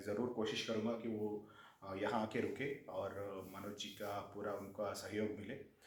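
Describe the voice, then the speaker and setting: There is noticeable background noise and audible room echo as a man speaks in a fairly low pitch with monotone, flat intonation. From Andhra Pradesh/Telangana, Telugu-speaking. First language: Telugu (speaking Hindi). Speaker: government official. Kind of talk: casual interview.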